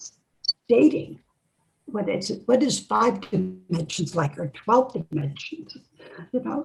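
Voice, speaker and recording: The speaker talks very slowly with vocal fry and very wide swings in pitch. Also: woman. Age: 80s+. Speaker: near-death experience researcher and author. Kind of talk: interview conversation.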